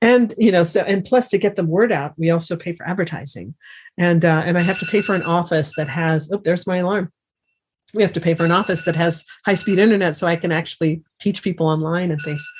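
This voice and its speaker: Somewhat breathy, a woman talks at a very fast pace with a fairly low pitch and ordinary pitch variation. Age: 60s. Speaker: remote viewing teacher and author. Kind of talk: interview.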